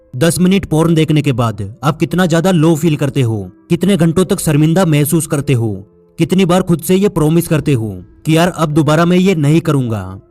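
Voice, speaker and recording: A man speaks at fairly high pitch with lively intonation and very even loudness. Music plays in the background. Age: 20s. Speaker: motivational speaker. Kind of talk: motivational speech.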